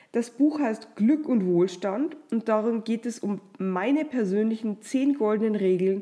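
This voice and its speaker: A woman speaks in an ordinary speaking voice, fairly high in pitch. She goes at a fairly slow pace with ordinary pitch variation. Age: 30s. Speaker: podcast host and publisher. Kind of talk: motivational monologue. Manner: warm.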